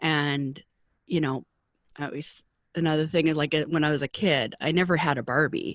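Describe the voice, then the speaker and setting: Speaking in a very deep, low pitch with a Canadian accent, a woman keeps her intonation fairly even and leaves long, frequent pauses, on a very clean recording with a silent background. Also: moderate pace, dry, close sound with no echo. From Canada, Vancouver. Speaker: publicist and career coach for artists. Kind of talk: interview conversation.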